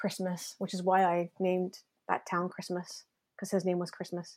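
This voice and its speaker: A woman's medium-pitched voice with a Canadian accent and monotone, flat intonation, on a very clean recording with a silent background. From Canada, Ontario. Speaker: novelist. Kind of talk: casual interview.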